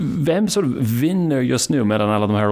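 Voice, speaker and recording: Over noticeable background noise, a man with an English accent talks at a moderate pace. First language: English (speaking Swedish). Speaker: podcast host. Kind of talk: interview; scripted narration.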